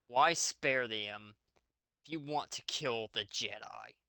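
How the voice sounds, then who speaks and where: A man puts on a growling character voice at medium pitch, speaking at a fairly slow pace with big swings in loudness. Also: ordinary pitch variation. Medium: read story.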